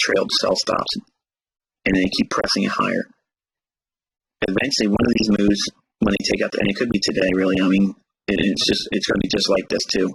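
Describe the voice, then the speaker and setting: A man with an American accent, very even loudness and long, frequent pauses. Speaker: forex trading educator. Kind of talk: live trading stream commentary. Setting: livestream. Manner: halting, repetitive fillers.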